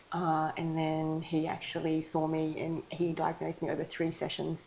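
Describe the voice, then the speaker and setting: Speaking with an Australian accent, a woman uses a very deep, low pitch and a dark, mellow tone, her loudness very even and her intonation monotone and flat at a moderate pace. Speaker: ADHD coach. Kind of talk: interview. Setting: clinic.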